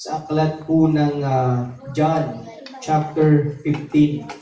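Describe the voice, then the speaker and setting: There is audible room echo and noticeable background noise around a man. His intonation is monotone and flat. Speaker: pastor. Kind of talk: sermon. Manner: softened volume, quieter at night.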